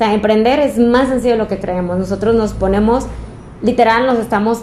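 The speaker has a Mexican accent. Background noise is noticeable. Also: woman. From Mexico, Zamora, Michoacán. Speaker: fashion designer and entrepreneur. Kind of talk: casual interview chat.

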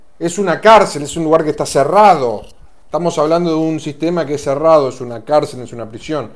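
A normal speaking voice. It moves at a moderate pace. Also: man. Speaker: talk show host. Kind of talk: casual chat.

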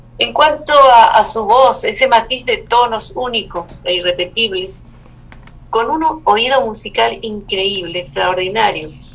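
The intonation is lively and the pace fairly slow. Noticeable background noise runs underneath. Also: woman, fairly high pitch for a woman. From Chile. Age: 70s. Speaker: poet and writer. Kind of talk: interview.

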